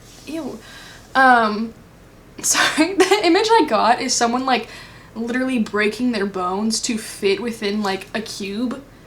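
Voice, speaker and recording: With lively intonation, the speaker goes at a fairly slow pace over noticeable background noise. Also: woman, fairly high pitch for a woman. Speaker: tarot reader. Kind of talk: pick a card tarot reading. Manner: casual, filler-heavy.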